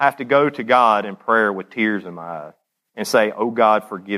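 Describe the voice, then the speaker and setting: A man with a Southern US accent speaks at a moderate pace in a fairly low pitch, his tone bright and sharp. His loudness swings widely, while his pitch varies in an ordinary way. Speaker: former addict giving testimony. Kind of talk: testimony. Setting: church.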